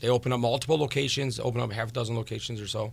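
In an American accent, a man speaks very fast at a medium pitch, somewhat breathy, with monotone, flat intonation. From Crown Point, Indiana. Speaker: home builder and restaurant owner. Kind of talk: casual chat.

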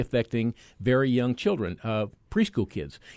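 This man has a normal speaking voice at a medium pitch, talking at a moderate pace against a quiet background. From US mainland. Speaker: physician and vaccine expert. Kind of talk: radio interview.

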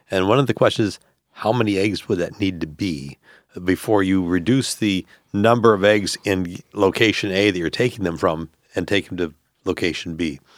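Very deep, low pitch from a man, with ordinary pitch variation. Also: moderate pace. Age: 60s. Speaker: entomology professor and university dean. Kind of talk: expert interview. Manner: halting, many fillers.

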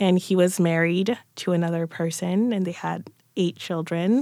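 On a very clean recording with a silent background, a woman speaks at a fairly slow pace in a plain, everyday voice, with fairly low pitch and fairly even intonation. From France, also England and US; born in Cameroon. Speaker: author and lawyer. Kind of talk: interview conversation. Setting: radio studio.

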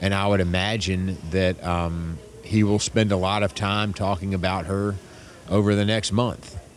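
A man's fairly low voice at a moderate pace, with fairly even intonation and very even loudness, over noticeable background noise. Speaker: political strategist. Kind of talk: interview. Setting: airport terminal.

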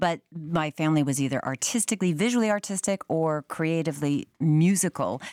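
Over a very clean, silent background with a dry, close sound and no echo, a woman in a normal speaking voice talks fairly quickly at fairly low pitch, with ordinary pitch variation, very even loudness and hardly any pauses. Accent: American. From US Northeast, Concord, New Hampshire. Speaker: radio host. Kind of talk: casual chat.

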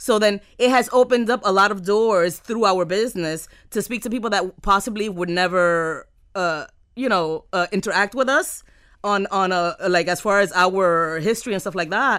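The recording is very clean, with a silent background. A woman with a Miami accent talks at a medium pitch, with ordinary pitch variation. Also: moderate pace. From Miami, US. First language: Spanish. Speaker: entrepreneur. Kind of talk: casual interview chat. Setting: studio.

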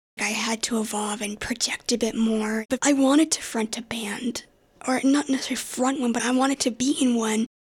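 A woman with an American accent speaks in a breathy, high-pitched voice with fairly even intonation. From US South, Asheville, North Carolina. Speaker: singer. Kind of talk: interview.

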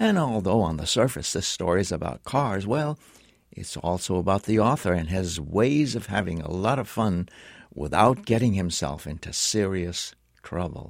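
Against a very clean recording with a silent background, a man uses a plain, everyday voice, fairly low in pitch, with lively intonation at a moderate pace. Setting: radio studio.

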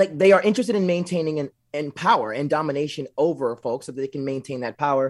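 A man with an American accent, ordinary pitch variation and a normal speaking voice, on a very clean recording with a silent background. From US South, southeast Texas near Louisiana. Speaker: community organizer. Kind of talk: interview.

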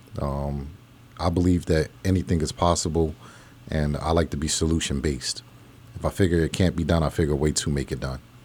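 A man in an American accent, very deep and low in pitch, with fairly even intonation and a fairly quick pace. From New Jersey, grew up partly in Pennsylvania. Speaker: entrepreneur. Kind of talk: interview. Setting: studio.

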